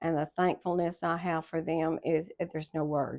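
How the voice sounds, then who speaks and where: A woman with an American accent speaks at a fairly low pitch. Her intonation is monotone and flat. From Texas. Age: 70s. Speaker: retired school secretary. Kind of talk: life story interview; reading aloud. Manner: halting.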